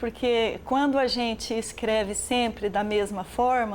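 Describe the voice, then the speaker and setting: This woman has an ordinary speaking voice with fairly high pitch and ordinary pitch variation. Her pace is fairly slow. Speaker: short film director and Portuguese teacher. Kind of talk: interview answer.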